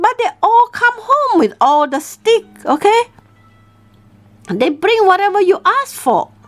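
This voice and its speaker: A female-sounding voice in a put-on character voice mumbles at an extremely high pitch and a fairly slow pace, with long, frequent pauses and faint music in the background. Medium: read story. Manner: mumbling, fretful.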